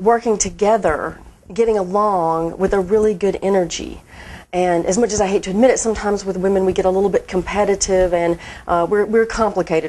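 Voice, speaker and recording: Using a Southern US accent, a woman with a dark, mellow tone races along at a very fast pace with fairly even intonation. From Mississippi, USA. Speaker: marketing director. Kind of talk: interview answer.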